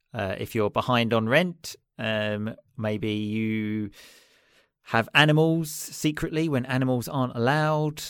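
Fairly slow speech from a man with a southern English accent, at medium pitch with ordinary pitch variation, on a very clean recording with a silent background. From southeast England, Chelmsford. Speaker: English teacher and podcaster. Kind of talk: casual chat.

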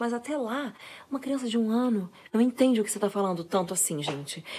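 Her intonation is lively and her tone animated. A woman speaks at a fairly high pitch. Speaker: parenting influencer, mother. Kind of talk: casual monologue. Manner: fast.

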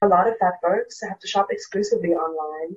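A woman at a moderate pace, somewhat breathy. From South Africa. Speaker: theatre education worker and fat liberation activist. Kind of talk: interview.

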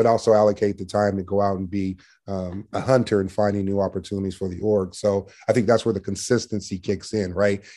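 This voice has a dark, mellow tone and moves at a very fast pace against a quiet background. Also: man. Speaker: sales manager. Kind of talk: casual interview. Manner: assertive, sales-like, coach-like.

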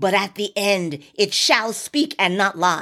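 Female voice at a fairly slow pace on a very clean recording with a silent background. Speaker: preacher. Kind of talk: exhortative podcast sermon with scripture reading and call-and-response. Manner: fervent, rallying, urging listeners to repeat declarations; emphatic and repetitive, punctuated with amen and hallelujah.

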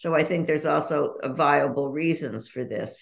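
Vocal fry colors a woman's voice as she speaks with an American accent. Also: very clean recording, silent background. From Los Angeles, US. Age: 80s. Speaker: author. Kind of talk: casual interview chat.

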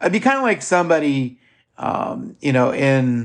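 This man speaks at a medium pitch with a Midwestern accent. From US Midwest. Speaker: podcast host. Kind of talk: casual monologue. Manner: halting, many fillers.

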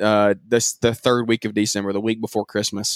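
A man speaks at a fairly quick pace in a Southern US accent. The sound is dry and close with no echo, and the recording is very clean with a silent background. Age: 20s. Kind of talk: casual interview chat.

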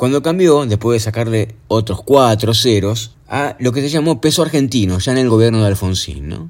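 A medium-pitched male voice with very wide pitch swings. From Argentina. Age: 50s. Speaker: podcaster. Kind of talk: personal storytelling monologue. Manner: casual, conversational.

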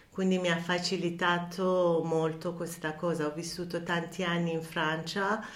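Audible room echo surrounds a voice with a Persian accent. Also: woman. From Iran, Tehran. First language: Persian (speaking Italian). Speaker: counselor. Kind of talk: interview. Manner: halting, many fillers.

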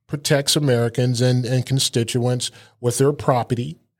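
Speaking at a fairly slow pace, a man has an unremarkable speaking voice at a medium pitch. The recording is very clean, with a silent background. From Germany (US military family). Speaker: radio show host and state legislator. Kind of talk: political talk show interview.

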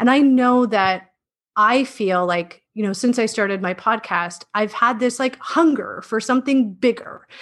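A woman with a Canadian accent has a plain, everyday voice. Her pitch is fairly high and her pace fairly slow. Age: 30s. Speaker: middle school teacher. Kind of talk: casual interview.

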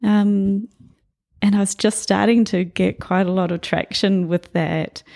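The voice has a dark, mellow tone and a New Zealand accent. The sound is dry and close, with no echo. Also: woman. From New Zealand, New Plymouth. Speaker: abstract painter. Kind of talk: casual interview. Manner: halting.

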